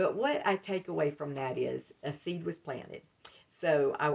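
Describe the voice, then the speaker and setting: A woman with a very deep, low pitch speaks in a strong Southern US accent. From US South, Mobile, Alabama. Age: 60s. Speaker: author and minister. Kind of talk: reading aloud from her memoir; casual talk to viewers.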